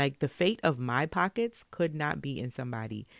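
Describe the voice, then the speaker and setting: Animated in tone, a woman speaks with a New York accent at a very deep, low pitch and a moderate pace. Her pitch swings very widely, and the recording is very clean with a silent background. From Brooklyn, New York. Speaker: podcast host and salon owner. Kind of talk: casual solo monologue.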